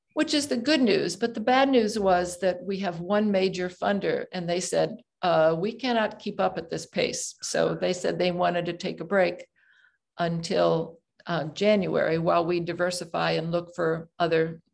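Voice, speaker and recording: Against a quiet background, a woman talks at a moderate pace in a fairly low voice with vocal fry and ordinary pitch variation. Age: 70s. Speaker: nonprofit co-founder, guest speaker. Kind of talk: presentation at club meeting. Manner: hesitant, many fillers.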